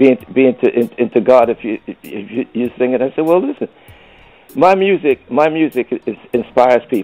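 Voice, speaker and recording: A man speaks with music in the background. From US Northeast, Brooklyn New York. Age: 70s. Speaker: veteran soul singer. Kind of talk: interview. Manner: halting, many repetitions.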